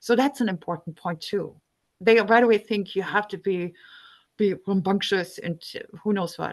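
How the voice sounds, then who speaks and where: Against a quiet background, a woman with a non-native accent speaks at a medium pitch and a moderate pace with fairly even intonation, in a dry, close sound with no echo. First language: not English. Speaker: climate activist volunteer. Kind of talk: group discussion, personal sharing. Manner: halting, many fillers.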